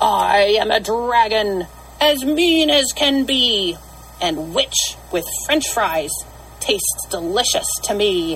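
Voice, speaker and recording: A woman bellows loudly at a very slow pace in a put-on character voice, her pitch medium, with clear background noise. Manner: scary, menacing, roaring.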